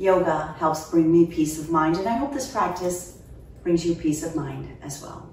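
A woman is heard with audible room echo. Light background noise runs underneath. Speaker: yoga instructor. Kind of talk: tutorial. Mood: calm, soothing. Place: home room.

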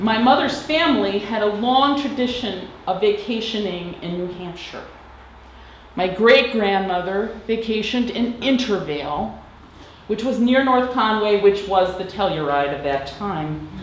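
With an American accent, a woman at medium pitch talks at a fairly slow pace with lively intonation, amid audible room echo and light background noise. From Madison, Wisconsin; Wisconsin. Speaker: interviewee. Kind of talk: personal reminiscence.

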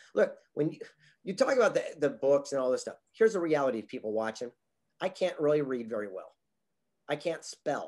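A man with a West Coast American accent talks at a fairly quick pace. The background is quiet. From Southern California. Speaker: motivational speaker and author. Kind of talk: interview. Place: home room. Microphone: webcam.

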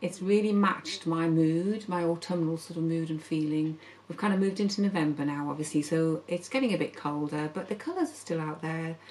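Using a normal speaking voice, a woman talks at a fairly quick pace, her pitch fairly low and her intonation fairly even. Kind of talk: casual vlog chat. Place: studio.

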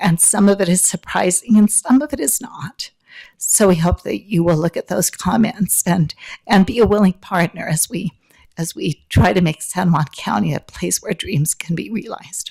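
Recorded with a dry, close sound and no echo, a woman speaks at a moderate pace in a medium, somewhat breathy pitch with ordinary pitch variation. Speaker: public commenter at county meeting. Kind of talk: public comment.

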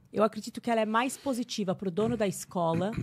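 A woman talks at a very fast pace. Her voice is somewhat breathy, with ordinary pitch variation. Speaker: English teacher. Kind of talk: casual interview chat. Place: studio. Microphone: studio mic.

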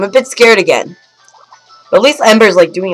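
An unforced reading voice is heard, and the background stays quiet.

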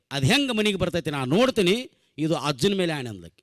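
A man's animated voice with a North Karnataka accent and very wide pitch swings, the sound dry and close with no echo. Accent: North Karnataka Kannada dialect. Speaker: comedian. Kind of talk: stand-up. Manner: animated, acting out characters.

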